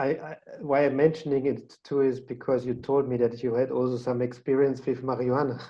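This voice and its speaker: A man with a German accent at a medium pitch, fairly quick, with monotone, flat intonation. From Austria. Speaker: podcast host. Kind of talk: casual interview chat.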